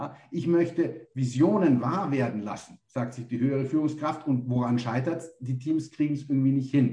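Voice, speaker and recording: A man speaks at a moderate pace with a fairly high pitch and ordinary pitch variation. His tone is dark, mellow and somewhat breathy. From Munich, Germany. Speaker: business consultant, company founder. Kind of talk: interview. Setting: remote call.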